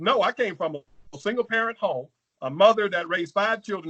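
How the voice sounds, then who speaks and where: Speaking in a Southern US accent, a man with a high pitch and a bright, sharp tone uses lively intonation, recorded dry and close with no echo. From Louisiana. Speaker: congressional candidate. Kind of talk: political interview. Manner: halting.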